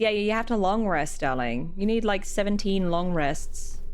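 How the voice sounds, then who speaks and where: With music in the background, a woman speaks in an Australian accent with lively intonation. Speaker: vtuber streamer. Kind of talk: casual livestream chat.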